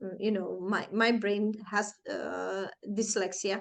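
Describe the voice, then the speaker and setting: A woman speaks with a Flemish accent. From Flanders, Belgium. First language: Flemish (Dutch). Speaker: personal growth vlogger. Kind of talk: personal storytelling in a tutorial vlog. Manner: hesitant, with fillers and self-corrections.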